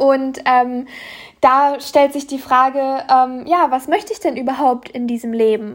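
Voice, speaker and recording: A high-pitched woman's voice at a moderate pace. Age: 20s. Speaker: podcaster and online coach. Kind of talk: solo monologue podcast. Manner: frequent filler hesitations.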